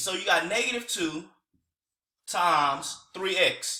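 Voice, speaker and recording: A man's voice is raised and projected. His pitch swings very widely. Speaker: teacher. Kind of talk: tutorial. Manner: casual.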